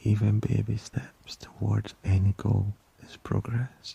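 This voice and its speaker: Soft-spoken and soothing in tone, a man talks at a fairly low pitch with fairly even intonation in a dry, close sound with no echo. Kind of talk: ASMR boyfriend roleplay. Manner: gentle, soft-spoken, soothing.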